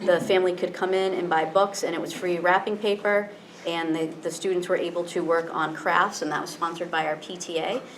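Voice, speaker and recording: With an American accent, a woman talks in a fairly low, monotone, flat voice over noticeable background noise. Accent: slight Cape Cod accent slipping through. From Cape Cod, Massachusetts. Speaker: school principal. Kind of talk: presentation at school committee meeting. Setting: public committee meeting. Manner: fast; many fillers and repetitions.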